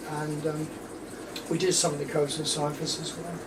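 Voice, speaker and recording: A man with a southern English accent and a fairly high pitch speaks at a moderate pace. Audible room echo and noticeable background noise fill the recording. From southern England (Luton, then London). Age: 70s. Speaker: war veteran. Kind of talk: oral history interview.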